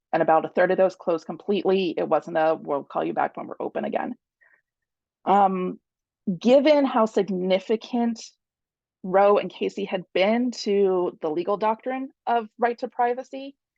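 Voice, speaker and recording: With a plain, everyday voice, a woman talks at a moderate pace and medium pitch, her intonation lively. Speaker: attorney. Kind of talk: talk presentation with slides.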